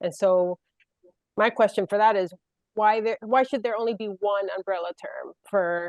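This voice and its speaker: A woman is speaking. She has a Puerto Rican accent. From Puerto Rico. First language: Spanish. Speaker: panelist. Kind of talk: panel discussion.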